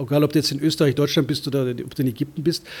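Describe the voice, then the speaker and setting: This man talks at a fairly high pitch with fairly even intonation. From Germany, Munich. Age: 50s. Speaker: foreign correspondent. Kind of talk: interview.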